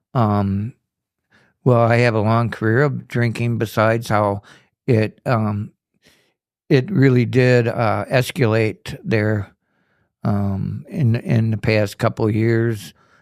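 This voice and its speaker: A man with an Upper Midwest US accent talks at a very slow pace with fairly even intonation and long, frequent pauses. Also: medium pitch for a man. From Kenosha, Wisconsin. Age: 60s. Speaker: recovering alcoholic in treatment. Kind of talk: testimony.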